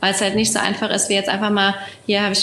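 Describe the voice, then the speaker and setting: A woman is speaking in a space with audible room echo. Noticeable background noise is present. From Germany, Rheinhessen. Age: 20s. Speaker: winemaker. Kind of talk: casual interview. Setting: video call from home.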